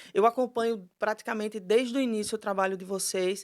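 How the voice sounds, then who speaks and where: A woman speaks in a Pernambuco accent at a moderate pace. Her intonation is monotone and flat, and the recording is very clean with a silent background. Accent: Pernambuco (northeastern Brazilian). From Brazil, Recife (Pernambuco). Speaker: lawyer, foundation founder. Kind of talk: podcast interview.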